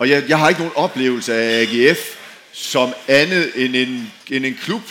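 Noticeable background noise and audible room echo surround the speaker. He is a man with a medium-pitched voice. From Denmark, outside Aarhus region. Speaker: former professional footballer. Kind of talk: panel discussion on stage. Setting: tent with live audience. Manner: halting, repeats words.

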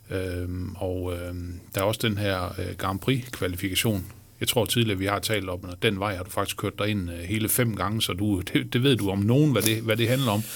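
A man speaks at a moderate pace in an ordinary speaking voice. His pitch is fairly low, with ordinary pitch variation. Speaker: sports journalist and podcast host. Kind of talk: interview. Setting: studio.

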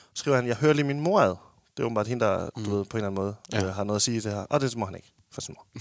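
A man speaks very fast in a dry, close recording with no echo. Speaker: podcast host. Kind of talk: casual chat. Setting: studio.

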